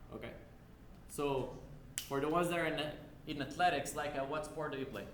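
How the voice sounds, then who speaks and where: Over noticeable background noise and audible room echo, a man with a fairly high voice talks at a fairly quick pace with fairly even intonation. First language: not English. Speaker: university lab instructor. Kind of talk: lecture. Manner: casual, conversational.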